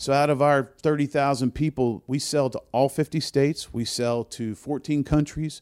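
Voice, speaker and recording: A man in a Southern US accent speaks at a moderate pace with hardly any pauses, a fairly high pitch and fairly even intonation, in a very clean recording with a silent background and a dry, close sound with no echo. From US South, New Orleans. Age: old. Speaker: music festival producer. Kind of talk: casual interview. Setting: in an office.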